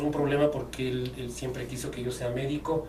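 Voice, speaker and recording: Noticeable background noise and audible room echo accompany a man as he talks. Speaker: sports journalist and radio producer. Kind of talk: interview. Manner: hesitant, many fillers and repetitions.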